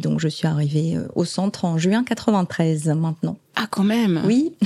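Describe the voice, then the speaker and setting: Fairly slow delivery from a woman, her pitch fairly low. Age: 50s. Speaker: oncology nurse manager. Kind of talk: interview. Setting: hospital ward. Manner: halting.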